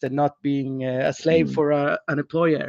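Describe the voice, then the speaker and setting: A man talks in a fairly high voice with a Swedish accent and monotone, flat intonation. The sound is dry and close, with no echo. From Sweden, Gothenburg. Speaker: financial advisor. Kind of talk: casual interview.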